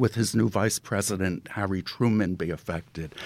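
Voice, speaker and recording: A man speaks at a moderate pace. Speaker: book review editor. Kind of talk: panel discussion.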